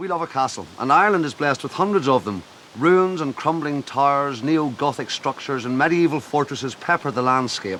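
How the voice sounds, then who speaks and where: This man talks fairly quickly with hardly any pauses, his fairly high pitch moving in ordinary ways over noticeable background noise. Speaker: TV presenter. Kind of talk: TV documentary narration.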